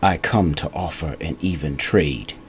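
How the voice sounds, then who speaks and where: Over light background noise, a man uses a put-on character voice, husky and very deep in pitch, at a moderate pace. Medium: read story. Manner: solemn, intimate.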